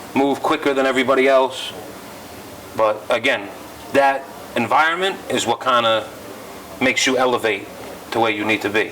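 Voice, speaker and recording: A man with a New York accent speaks at medium pitch with ordinary pitch variation. Long, frequent pauses and noticeable background noise run through the clip. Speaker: rapper. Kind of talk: interview. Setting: club. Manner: fast.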